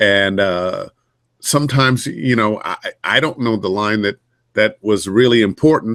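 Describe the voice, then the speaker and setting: An unremarkable speaking voice, with ordinary pitch variation. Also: man. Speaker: voice actor. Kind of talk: interview answer.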